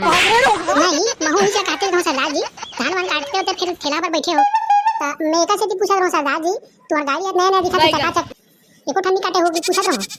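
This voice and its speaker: A put-on character voice at a very fast pace, with music in the background. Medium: comedy sketch. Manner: crude, grumbling.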